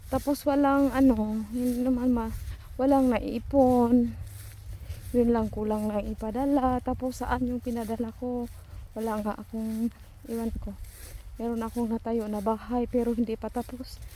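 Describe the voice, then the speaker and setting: A woman's fairly high-pitched voice in a flat monotone. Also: fairly slow pace. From Philippines. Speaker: vlogger. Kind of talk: casual vlog monologue. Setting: outdoors, walking alone.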